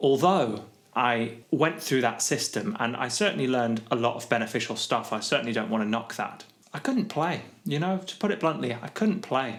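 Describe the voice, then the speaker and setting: Noticeable background noise surrounds a man whose pitch swings very widely as he talks at a moderate pace. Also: medium pitch for a man. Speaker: guitar teacher. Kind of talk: tutorial. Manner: slurred, mumbling.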